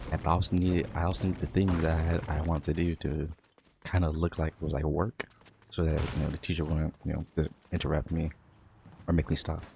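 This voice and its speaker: Mumbling at a fairly quick pace, the man has a very deep, low voice. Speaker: vlogger. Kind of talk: casual monologue.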